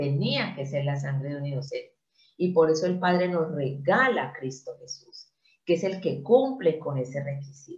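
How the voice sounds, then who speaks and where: A woman speaks at a moderate pace with a very deep, low pitch. Her voice is somewhat breathy, and her intonation is lively. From Colombia. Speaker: Bible teacher. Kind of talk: sermon.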